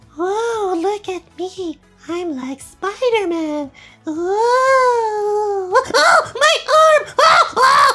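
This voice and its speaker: A put-on character voice at an extremely high pitch speaks at a very slow pace over faint music in the background. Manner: startled, excited.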